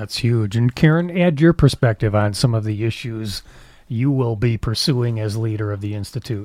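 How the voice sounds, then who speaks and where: A man with an unremarkable speaking voice talks at a moderate pace and medium pitch, with ordinary pitch variation and a dry, close sound that has no echo. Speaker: radio host. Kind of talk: radio interview.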